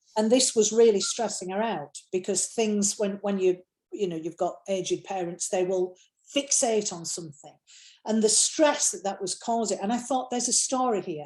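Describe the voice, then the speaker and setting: A woman speaks in a Yorkshire accent at medium pitch. Her pace is moderate. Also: ordinary pitch variation. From Yorkshire, England. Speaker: novelist. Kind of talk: interview answer.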